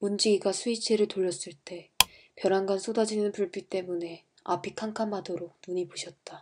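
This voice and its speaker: Her voice sounds strained as the woman speaks in a flat, monotone way. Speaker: amateur audiobook reader. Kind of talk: novel reading for sleep. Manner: flat, restrained, textbook-like.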